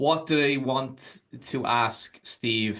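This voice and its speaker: This is a man with a normal speaking voice. His pitch is fairly high and his intonation fairly even. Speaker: YouTube interviewer, channel host. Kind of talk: interview question.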